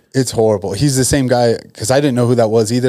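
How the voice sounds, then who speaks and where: A man speaks at medium pitch with a dark, mellow tone. His intonation stays fairly even. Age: 30s. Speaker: podcast host and former MMA fighter. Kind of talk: casual chat.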